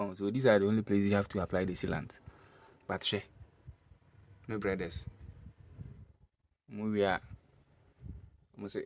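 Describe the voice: A man speaks at a fairly low pitch with little pitch movement. His fairly slow delivery has long, frequent pauses.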